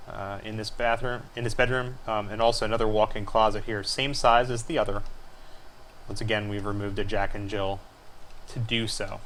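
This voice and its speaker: This man has a fairly low pitch and monotone, flat intonation at a fairly quick pace. Audible room echo surrounds his voice. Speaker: homeowner showing house plans. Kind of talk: screencast tutorial walkthrough. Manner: fast; hesitant fillers.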